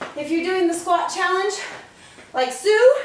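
With audible room echo and light background noise, a woman speaks at a fairly slow pace in an extremely high pitch with ordinary variation. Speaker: fitness instructor. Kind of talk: workout tutorial. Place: garage. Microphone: camera far.

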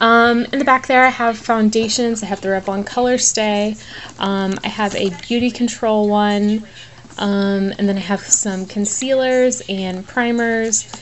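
A woman speaks at a fairly slow pace while light background noise plays underneath. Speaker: beauty vlogger. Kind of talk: casual vlog chat. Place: home room. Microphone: phone near.

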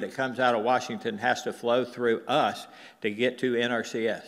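A man with an American accent at a moderate pace, over a quiet background. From US South. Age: 60s. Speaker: cattle rancher; presenter, panelist. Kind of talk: conference presentation. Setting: stage with audience. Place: hall.

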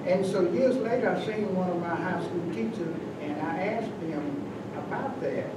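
The voice has an American accent and a moderate pace. Loud background noise and audible room echo are present. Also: man. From US South (western North Carolina). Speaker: community elder, retired postal worker. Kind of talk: oral history round table. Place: meeting room. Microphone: camera far.

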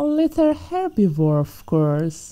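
Very slowly, a woman delivers her lines in a theatrical, menacing tone that is dark and mellow. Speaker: ASMR roleplay performer. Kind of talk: ASMR roleplay, scripted villain monologue as a T-Rex predator. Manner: menacing, mocking and playful, with relishing sighs and laughs; slow, theatrical and teasing, purring as she taunts her prey.

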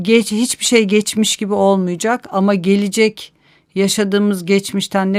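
A woman with an ordinary speaking voice talks at a moderate pace and medium pitch, on a very clean recording with a silent background. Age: 50s. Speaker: author and urban planner. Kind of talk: interview.

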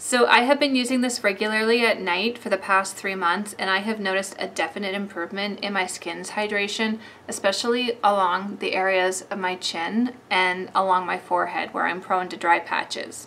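A woman talks at a moderate pace with hardly any pauses. Her intonation stays fairly even over light background noise. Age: 40s. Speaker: beauty vlogger. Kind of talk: product review. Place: home room.

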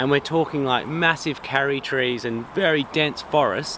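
At a moderate pace, a man speaks with ordinary pitch variation. The sound is dry with no echo, over light background noise. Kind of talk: casual explanatory chat. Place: open country.

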